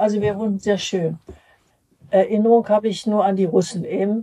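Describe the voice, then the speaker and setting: A woman speaks with a dark, mellow tone. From Berlin. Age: 80s+. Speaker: retiree recalling her life. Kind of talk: life-story interview. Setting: nursing home. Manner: halting.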